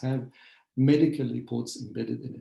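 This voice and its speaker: A dark, mellow tone comes through in a somewhat breathy delivery. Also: man. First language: Arabic. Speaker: historian, professor. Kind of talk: lecture. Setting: video call webinar. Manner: hesitant, many fillers.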